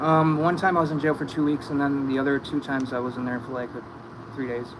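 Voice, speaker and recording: A man talks very fast in a fairly high pitch with fairly even intonation. Noticeable background noise runs under his voice. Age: 30s. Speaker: recovering addict. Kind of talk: casual chat.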